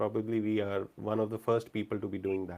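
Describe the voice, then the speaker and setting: The voice belongs to a man and sits fairly low. Everything is captured very cleanly against a silent background. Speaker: event host and metacognition facilitator. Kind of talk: live event moderation. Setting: hybrid live event with video conferencing. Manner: calming.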